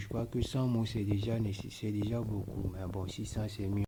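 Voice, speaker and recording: A man's dark, mellow, somewhat breathy voice, fairly low in pitch, with monotone, flat intonation at a moderate pace. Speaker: tech tutorial creator. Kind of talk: screen-recorded tutorial. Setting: at home at 3 a.m. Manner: quiet, lowered voice; halting.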